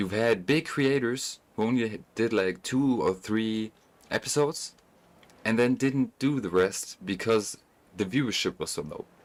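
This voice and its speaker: A man talks at a medium pitch and a fairly slow pace. His pitch varies in an ordinary way, and the recording is very clean with a silent background. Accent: German. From Germany. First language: German. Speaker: gaming streamer. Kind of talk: casual chat. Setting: live stream while gaming. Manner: casual, halting with self-corrections.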